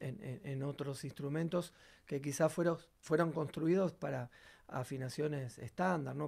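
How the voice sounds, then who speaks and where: Against a quiet background, a man speaks at a moderate pace and a fairly high pitch. His voice is somewhat breathy, with ordinary pitch variation. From Argentina. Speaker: bassist and singer; guest. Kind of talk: tutorial. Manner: halting, many fillers. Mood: calm, explanatory. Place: studio.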